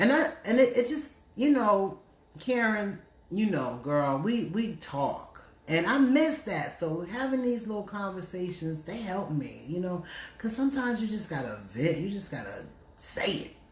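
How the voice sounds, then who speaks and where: With an American accent and an animated tone, a woman talks at a medium pitch with vocal fry and very wide pitch swings, in audible room echo. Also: fairly slow pace. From New Jersey. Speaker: radio host. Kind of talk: casual chat. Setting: Facebook live stream.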